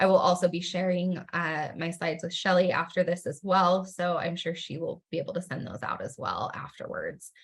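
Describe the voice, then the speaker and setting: Somewhat breathy and fairly low-pitched, a woman talks with fairly even intonation and hardly any pauses. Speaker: university research education staff presenter. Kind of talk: webinar presentation. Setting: video call. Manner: fast.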